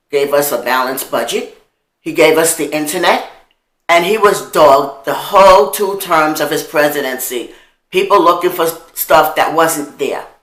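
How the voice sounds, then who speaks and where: Speaking with an American accent at a moderate pace, a woman with a fairly low pitch and ordinary pitch variation is heard amid audible room echo. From New York, Harlem. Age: old. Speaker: video blogger. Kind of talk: monologue. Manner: animated.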